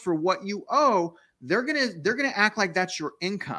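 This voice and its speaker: A man's raised, projected voice, bright and sharp in tone, with lively intonation. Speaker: guest real estate youtuber. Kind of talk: interview answer. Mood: candid, rueful storytelling. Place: home room. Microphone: studio mic.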